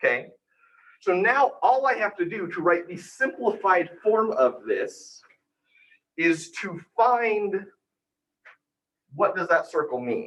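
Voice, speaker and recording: High-pitched male speech with lively intonation, a very slow pace, and long, frequent pauses. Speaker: university lecturer. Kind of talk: lecture.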